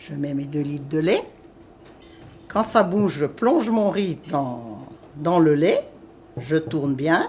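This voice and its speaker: A woman's very deep, low voice with lively intonation, very slow and marked by long, frequent pauses. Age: 60s. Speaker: home cook. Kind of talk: cooking tutorial.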